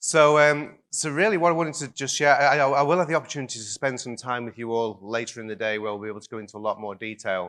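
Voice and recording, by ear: Fast and with few pauses, the voice has a fairly bright tone and fairly even intonation. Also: man, medium pitch for a man.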